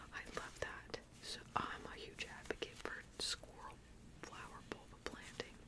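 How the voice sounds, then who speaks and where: Someone whispers over noticeable background noise. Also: fairly slow pace. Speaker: ASMR creator. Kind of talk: whispered ASMR chat. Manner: whispering; casual.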